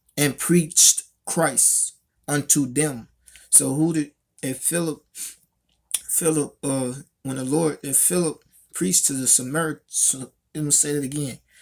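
In a quiet background, a man speaks at a fairly slow pace with fairly even intonation and long, frequent pauses. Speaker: religious commentator. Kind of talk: scripture commentary. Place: home room. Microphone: phone near.

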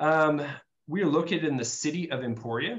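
Moving at a fairly quick pace, a man talks with pitch that varies in an ordinary way. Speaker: university admissions director. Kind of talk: informational webinar presentation. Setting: video call. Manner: halting, many fillers. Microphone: video call.

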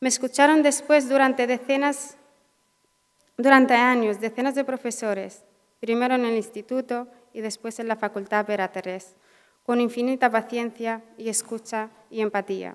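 Against a quiet background, a woman speaks in a Mauritanian accent with a high pitch. She keeps a moderate pace and fairly even intonation. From Western Sahara. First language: Hassaniya Arabic (speaking Spanish). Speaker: social work graduate. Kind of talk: graduation speech. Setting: auditorium with audience. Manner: halting. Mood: emotional, grateful. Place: hall. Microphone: podium.

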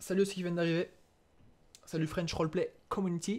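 A man speaks in an animated tone. His pitch is high. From eastern France (Franche-Comté). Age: 20s. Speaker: gaming streamer. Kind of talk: live gameplay commentary with chat. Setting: live stream. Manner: animated, hesitant.

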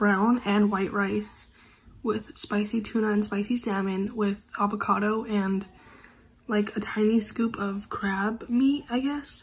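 The pace is fairly slow, with fairly even intonation. There is audible echo in the room. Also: woman.

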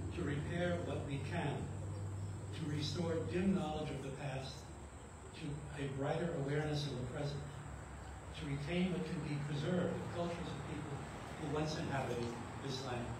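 Amid noticeable background noise and strong room echo, a man speaks at a moderate pace with long, frequent pauses. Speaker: clergy member and retired psychologist. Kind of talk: rally speech. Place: garden. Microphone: camera far.

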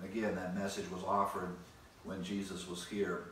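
A man at a moderate pace, with light background noise and audible room echo. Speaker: Bible teacher. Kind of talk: sermon-like Bible lecture. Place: home room. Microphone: camera far.

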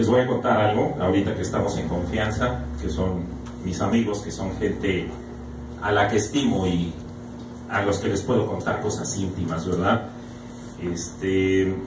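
In a room with audible echo and noticeable background noise, a man with a fairly low pitch speaks at a fairly slow pace with long, frequent pauses. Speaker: stand-up comedian. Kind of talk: stand-up comedy routine. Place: bar.

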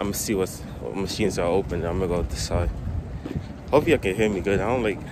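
Speaking at a very fast pace with ordinary pitch variation, a man is heard over noticeable background noise in a dry recording with no echo. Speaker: vlogger. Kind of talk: casual vlog chat. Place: street. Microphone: phone near.

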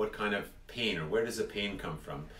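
A man talks at a fairly slow pace. Faint music plays in the background, and the room echo is audible. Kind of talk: explanatory talk to viewers. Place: office. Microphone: phone near.

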